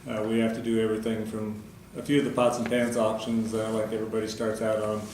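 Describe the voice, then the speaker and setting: A fairly quick pace of speech with noticeable background noise underneath. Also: man. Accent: American. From Nebraska, USA. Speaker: auctioneer. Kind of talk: interview answer.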